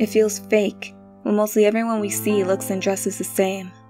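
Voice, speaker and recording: With music in the background, a woman talks at a fairly quick pace and a medium pitch. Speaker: spoken word poet. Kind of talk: spoken word poetry performance.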